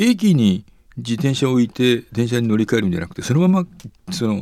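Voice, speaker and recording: A man's dark, mellow tone, with very wide pitch swings and a fairly quick pace. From Nara, Japan. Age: 70s. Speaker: cycling advocacy nonprofit head. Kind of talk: interview.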